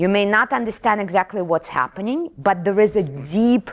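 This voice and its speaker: Recorded very cleanly against a silent background, a woman speaks at medium pitch with a non-native accent. Her tone is animated and her intonation lively. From Kazakhstan. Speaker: keynote speaker. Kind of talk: keynote talk. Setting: stage with audience.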